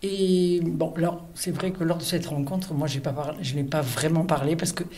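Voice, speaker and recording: Somewhat breathy and fairly low in pitch, a woman speaks with ordinary pitch variation amid audible room echo. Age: 70s. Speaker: reader on a book prize selection committee. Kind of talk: interview testimony. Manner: hesitant, with fillers and self-corrections.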